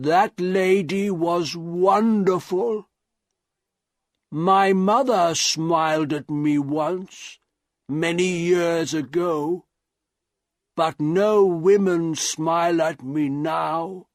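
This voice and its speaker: A man puts on a high-pitched character voice at a very slow pace, with long, frequent pauses. The recording is very clean, with a silent background. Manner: slow, halting, grateful.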